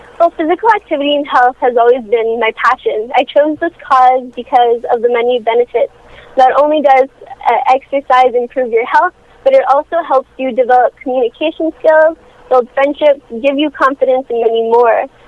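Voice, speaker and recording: A woman's high-pitched voice at a moderate pace, with ordinary pitch variation and noticeable background noise. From French Canada. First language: French. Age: 18. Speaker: youth charity founder. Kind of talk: phone interview. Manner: rehearsed, formal.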